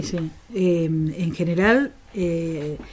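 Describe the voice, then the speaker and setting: There is noticeable background noise as a woman speaks in a fairly low voice with ordinary pitch variation. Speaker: radio host and journalist. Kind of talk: interview answer.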